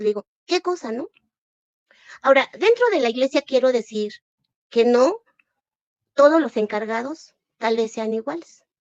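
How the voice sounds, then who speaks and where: An animated voice with a Mexican accent and lively intonation. The sound is dry and close, with no echo. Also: woman. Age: 60s. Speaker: former church member denouncing abuse. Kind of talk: testimony. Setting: livestream.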